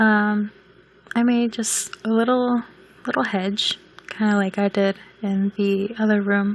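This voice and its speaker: A woman with a fairly high voice speaks in a flat monotone at a fairly slow pace, with noticeable background noise. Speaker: video game builder. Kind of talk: casual gameplay voice-over.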